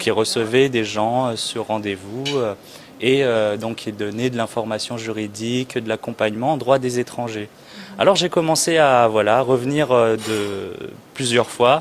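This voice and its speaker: A man at a medium pitch and a fairly slow pace, fairly even in intonation, over noticeable background noise. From France (Châteauroux, central France). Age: 20s. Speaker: immigration lawyer. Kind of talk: interview. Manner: hesitant, many fillers.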